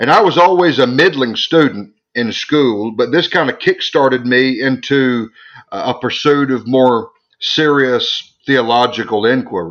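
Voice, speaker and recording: Ordinary pitch variation shapes a man's medium pitch as he talks at a fairly slow pace. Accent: Southern US. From US South, South Arkansas Delta. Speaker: theologian and author. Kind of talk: interview.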